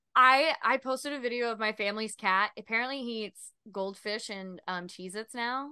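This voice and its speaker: In an American accent, a woman with a fairly high pitch and a bright, sharp tone talks with hardly any pauses, ordinary pitch variation and big swings in loudness. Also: moderate pace. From US South. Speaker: podcast host and actor. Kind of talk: casual interview.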